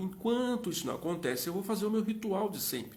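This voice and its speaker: Audible room echo fills the space. A man talks fairly quickly within it. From Minas Gerais, Brazil. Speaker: live interview host. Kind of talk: live stream chat. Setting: Instagram live. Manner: fast.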